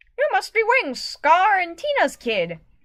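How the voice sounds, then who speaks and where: Putting on a squeaky character voice at an extremely high pitch, a woman talks at a moderate pace with very wide pitch swings. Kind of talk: amateur fanfiction read-aloud. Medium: read story.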